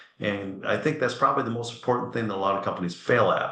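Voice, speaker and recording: Amid audible room echo, a man talks in an animated tone that is bright and sharp. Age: 60s. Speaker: furniture company executive. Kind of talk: webinar interview.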